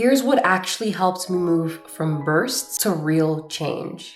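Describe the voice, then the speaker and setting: Against noticeable background noise, a woman talks at a very slow pace with lively intonation. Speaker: self-growth content creator. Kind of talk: personal video journal, self-growth talk to camera.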